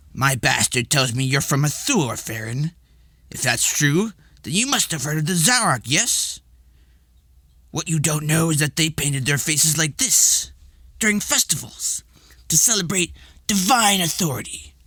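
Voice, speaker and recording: A man puts on a character voice with a fairly high pitch and lively intonation. He moves at a moderate pace, leaving long, frequent pauses. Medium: read story. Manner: imperious, condescending.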